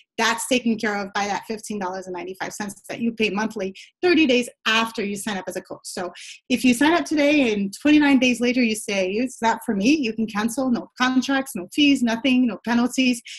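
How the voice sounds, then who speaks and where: A woman's fairly high voice, fairly quick in pace, with ordinary pitch variation. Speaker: fitness business coach. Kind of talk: sales pitch. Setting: conference call. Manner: fast.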